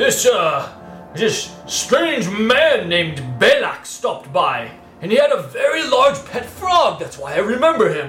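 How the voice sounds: Clear background music behind a man doing a put-on character voice, fairly slow in pace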